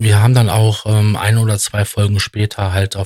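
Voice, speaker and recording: A man speaks in a fairly low, somewhat breathy voice with monotone, flat intonation. The pace is fairly slow, and the sound is dry and close with no echo. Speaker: podcast host. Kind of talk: solo monologue. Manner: hesitant, many filler sounds.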